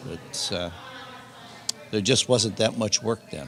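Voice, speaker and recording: A man with a Californian accent and ordinary pitch variation. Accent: Californian American English. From Southern California, San Pedro. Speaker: retired longshore clerk. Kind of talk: oral history interview. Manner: halting, many fillers.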